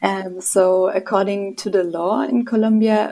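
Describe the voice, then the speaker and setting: A woman with a German accent speaks at a fairly slow pace. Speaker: freelance journalist. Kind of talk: interview.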